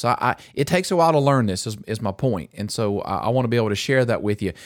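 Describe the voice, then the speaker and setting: In a very clean recording with a silent background, a man speaks in an animated tone at a medium pitch with ordinary pitch variation. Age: 50s. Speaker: pastor and podcast host. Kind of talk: casual chat.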